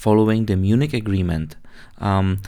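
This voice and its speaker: The speaker is a man with a Czech accent. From Czech Republic. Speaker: aviation podcaster and pilot. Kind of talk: solo podcast monologue. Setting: man cave bunker, home recording. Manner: halting, with fillers and self-corrections.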